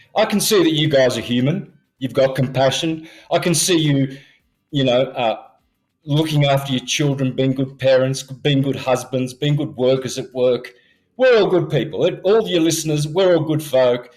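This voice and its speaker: Moderate pace and ordinary pitch variation, with music in the background. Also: man, fairly high pitch for a man. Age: 60s. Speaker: conspiracy theorist guest. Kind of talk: podcast interview. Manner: animated.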